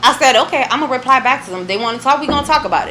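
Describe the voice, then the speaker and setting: Raising and projecting her high voice over noticeable background noise, a woman talks fairly quickly with lively intonation. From Puerto Rican family, US (716 area, Buffalo NY). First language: Spanish. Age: 20s. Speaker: music awards organizer. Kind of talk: casual chat. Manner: animated.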